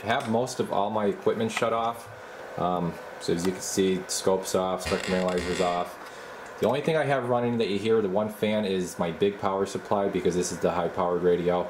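Over noticeable background noise, a man with a fairly low voice talks at a fairly quick pace with ordinary pitch variation. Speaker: radio equipment reviewer. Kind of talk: casual tutorial commentary. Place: workshop. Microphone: phone near.

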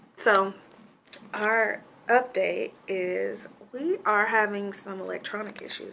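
A woman's voice over light background noise. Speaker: expectant mother vlogger. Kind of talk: casual vlog chat. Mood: calm, cheerful. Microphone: phone near.

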